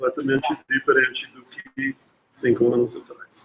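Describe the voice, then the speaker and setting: A man at a fairly slow pace. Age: 60s. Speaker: professor. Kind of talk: lecture. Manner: halting, with many restarts.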